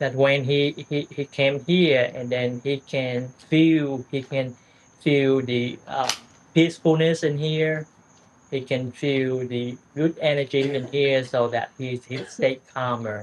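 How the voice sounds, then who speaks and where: A man with a Vietnamese accent speaks at a medium pitch. His pace is very slow. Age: 60s. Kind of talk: casual conversation with a monk. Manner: halting, repeats words.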